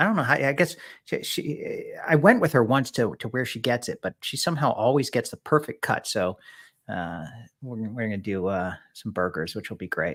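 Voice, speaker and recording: A man speaks in a plain, everyday voice at a medium pitch. His intonation is lively, and the recording is very clean with a silent background. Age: 40s. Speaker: rabbi. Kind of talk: casual chat.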